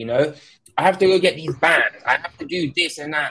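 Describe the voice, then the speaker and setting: With an English accent, a man speaks at a moderate pace in a bright, sharp tone with lively intonation. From UK. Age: 20s. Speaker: tech content creator. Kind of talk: casual chat.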